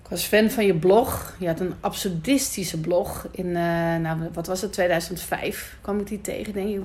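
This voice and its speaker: Audible room echo surrounds a woman's medium-pitched voice, which has ordinary pitch variation. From Netherlands, Amsterdam Noord. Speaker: podcast host. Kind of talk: casual interview. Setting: rooftop in Amsterdam.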